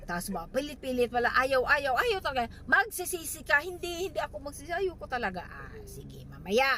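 An animated tone with very wide pitch swings at a moderate pace. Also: woman. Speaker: vlogger. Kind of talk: casual vlog chat. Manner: animated, laughing often.

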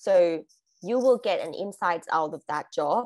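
With a Thai accent, the voice has a dark, mellow tone and ordinary pitch variation at a very slow pace. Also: woman, quiet background. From Thailand. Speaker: international graduate, corporate employee; guest. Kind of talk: webinar presentation. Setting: video call. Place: home room. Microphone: video call.

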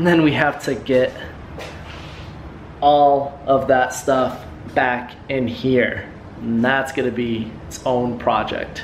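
Faint background noise sits under slow speech with fairly even intonation. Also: man, medium pitch for a man.

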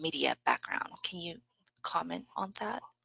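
A woman speaks at a moderate pace, and the sound is dry with no echo. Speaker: webinar moderator. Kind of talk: webinar moderation. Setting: video call. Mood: polite, friendly. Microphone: video call.

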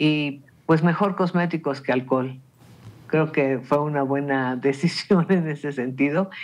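A man speaks in a Mexican accent at a fairly high pitch. His pace is fairly slow and his intonation fairly even. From Mexico. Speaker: radio panelist. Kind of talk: radio panel discussion. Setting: radio studio. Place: home room. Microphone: video call.

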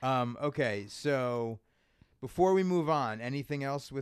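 A man is speaking. His pace is fairly slow. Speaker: comedy podcast host and stand-up comedian. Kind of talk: casual interview chat. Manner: animated, profane.

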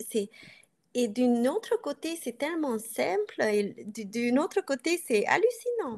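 Speaking very slowly with a Hungarian accent, a woman uses a high pitch for a woman and very wide pitch swings. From Transylvania, Romania (Hungarian community). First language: Hungarian (speaking French). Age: 40s. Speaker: coaching client; coaching client interviewee. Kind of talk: interview; interview answer. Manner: halting. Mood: reflective, personal. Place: home room. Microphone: video call.

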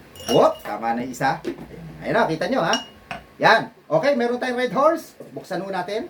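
Over noticeable background noise, a man with a high-pitched voice speaks at a moderate pace with very wide pitch swings. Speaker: bartender and video host. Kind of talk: casual video tutorial. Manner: animated.

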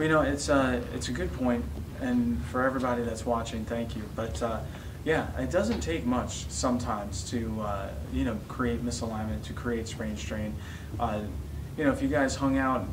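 Moderate pace over noticeable background noise. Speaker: chiropractor, video host. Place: office.

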